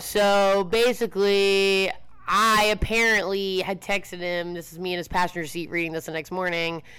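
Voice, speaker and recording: A woman's bright, sharp, medium-pitched voice with fairly even intonation at a moderate pace, on a very clean recording with a silent background. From Baltimore area, Maryland. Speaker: bartender. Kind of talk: casual chat.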